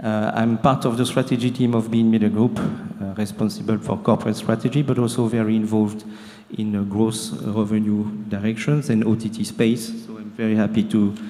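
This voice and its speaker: A man with a French accent, medium pitch and a monotone, flat intonation at a fairly quick pace, amid noticeable background noise. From France. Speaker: media strategy executive. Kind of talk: panel discussion.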